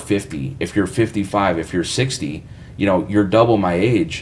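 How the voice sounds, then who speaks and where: This man has a normal speaking voice with a fairly low pitch. His intonation is lively. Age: 20s. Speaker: professional musician, guitarist and YouTuber. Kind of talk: live stream Q&A. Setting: home studio. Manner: casual, filler-heavy.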